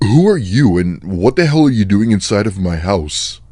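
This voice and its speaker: A man uses a put-on character voice, fairly low in pitch. He moves at a moderate pace with very wide pitch swings. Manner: angry.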